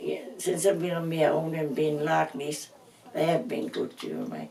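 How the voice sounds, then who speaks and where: This woman talks fairly slowly, with noticeable background noise around her. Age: 80s+. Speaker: family elder. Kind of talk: reminiscing interview. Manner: halting.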